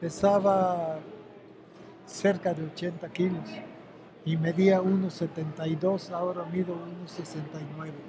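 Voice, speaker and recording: With monotone, flat intonation, a man speaks fairly slowly at a high pitch, taking long, frequent pauses over noticeable background noise. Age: 80s+. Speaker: retired wrestler and boxing historian. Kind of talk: interview.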